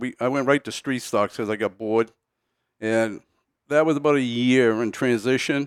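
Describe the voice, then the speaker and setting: A man with a plain, everyday voice speaks at a medium pitch and a moderate pace, with ordinary pitch variation. The recording is very clean with a silent background and a dry, close sound with no echo. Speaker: racing veteran. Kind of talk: casual chat. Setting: studio.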